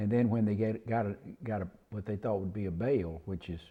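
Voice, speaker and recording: Against a quiet background, a dark, mellow voice with a Mississippi Delta accent moves at a moderate pace with ordinary pitch variation. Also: man. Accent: Southern US (Mississippi Delta). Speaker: cotton farmer. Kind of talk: oral history interview. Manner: halting, many fillers and restarts.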